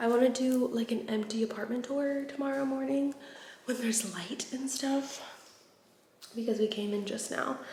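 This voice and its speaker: Here a woman speaks quietly with an American accent. Her pitch is fairly high, with ordinary pitch variation. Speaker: vlogger. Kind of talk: casual vlog. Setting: indoors in new apartment. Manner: animated; hushed.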